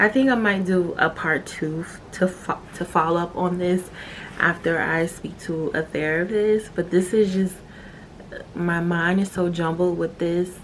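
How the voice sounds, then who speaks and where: A woman speaks fairly slowly in a fairly low voice with fairly even intonation. Noticeable background noise runs underneath. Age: 20s. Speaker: podcast host. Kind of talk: personal monologue.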